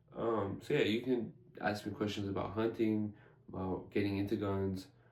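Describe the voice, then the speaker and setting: Noticeable background noise is present. Against it, a man talks with fairly even intonation. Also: moderate pace. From US (immigrated from Iran at age five). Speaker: gun channel host. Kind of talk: casual vlog talk to camera. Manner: halting, many fillers.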